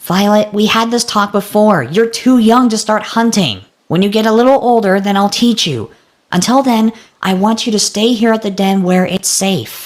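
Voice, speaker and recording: A female-sounding, cartoonish character voice on a very clean recording with a silent background. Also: medium pitch for a woman, moderate pace. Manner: dry, weary.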